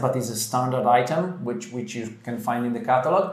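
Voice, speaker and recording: A man with an Italian accent talks at a moderate pace in a fairly high pitch. Audible room echo and noticeable background noise surround him. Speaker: interior design presenter. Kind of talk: casual chat. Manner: halting.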